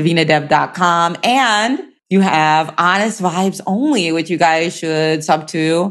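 A woman's plain, everyday voice, fairly low in pitch, with ordinary pitch variation and a fairly slow pace. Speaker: podcast host. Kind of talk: casual interview chat.

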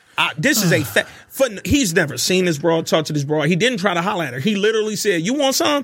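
Over noticeable background noise, a man speaks very fast in a high voice. His pitch swings very widely. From US South, Birmingham, Alabama. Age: 30s. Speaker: podcast guest. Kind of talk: casual chat.

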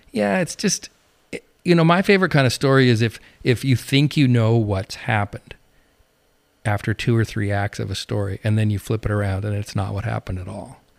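A man with a normal speaking voice, fairly low in pitch, with ordinary pitch variation and a fairly quick pace, in a dry, close sound with no echo on a very clean recording with a silent background. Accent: American. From Montana, rural. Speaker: TV news producer. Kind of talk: casual interview chat.

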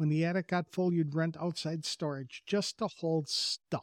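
A man with an American accent and a plain, everyday voice, fairly high in pitch and fairly even in intonation, on a very clean recording with a silent background and a dry, close sound with no echo. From Wisconsin. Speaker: podcast host. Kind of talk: interview, scripted intro.

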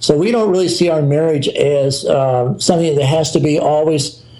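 In an American accent, a man with a fairly high pitch speaks at a moderate pace with ordinary pitch variation, amid noticeable background noise and audible room echo. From US South. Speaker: missionary leader. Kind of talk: interview.

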